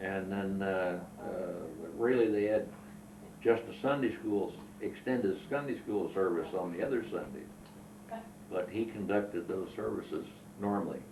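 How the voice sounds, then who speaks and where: A man with an American accent and fairly low pitch, long, frequent pauses, audible room echo and noticeable background noise. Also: ordinary pitch variation, moderate pace. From southern Illinois. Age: 70s. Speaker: war veteran. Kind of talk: oral history interview. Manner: halting.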